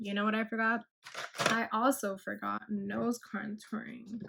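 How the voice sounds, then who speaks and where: A woman with a fairly high pitch speaks at a fairly slow pace in a flat, monotone intonation. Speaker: beauty vlogger. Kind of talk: makeup tutorial voiceover. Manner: casual.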